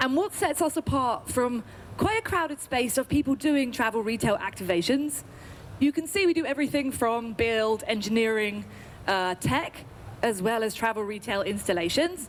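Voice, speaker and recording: In an English accent, a woman with an enthusiastic tone speaks at a fairly high pitch, her intonation lively and her loudness very even. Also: moderate pace. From UK. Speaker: agency representative pitching to industry audience. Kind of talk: sales pitch.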